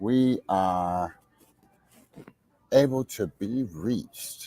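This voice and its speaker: Speaking at a very slow pace, a man uses a medium pitch and a dark, mellow tone with ordinary pitch variation. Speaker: DJ and show host. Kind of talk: livestream show opening.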